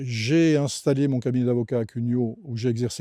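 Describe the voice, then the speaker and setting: A man at a medium pitch, in a dry, close sound with no echo and a quiet background. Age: 70s. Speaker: retired magistrate and municipal candidate. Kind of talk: campaign video statement. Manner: formal; halting with frequent hesitations.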